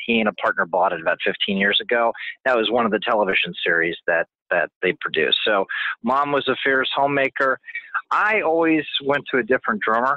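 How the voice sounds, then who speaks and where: Using a normal speaking voice, a man talks at a medium pitch and a fairly quick pace with lively intonation. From New England, Connecticut. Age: 60s. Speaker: entrepreneur. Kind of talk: interview.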